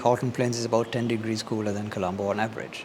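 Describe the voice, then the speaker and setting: A man's voice over noticeable background noise. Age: 60s. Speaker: scientist. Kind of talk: interview. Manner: measured, explanatory.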